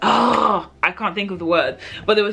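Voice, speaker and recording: Music can be heard in the background. Against it, a woman's pitch varies in an ordinary way. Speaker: book reviewer. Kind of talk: casual chat. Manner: hesitant, many fillers.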